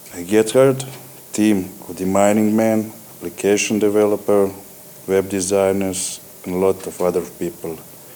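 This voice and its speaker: With a Croatian accent, a man with a fairly low pitch speaks at a moderate pace and fairly even intonation. His loudness swings a lot, against noticeable background noise. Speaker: company CEO. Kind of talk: acceptance speech.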